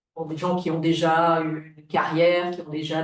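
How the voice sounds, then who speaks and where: This is a woman speaking. Her pitch is fairly low. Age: 60s. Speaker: retired business owner, transfer association volunteer. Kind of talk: webinar panel talk. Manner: halting, many hesitations.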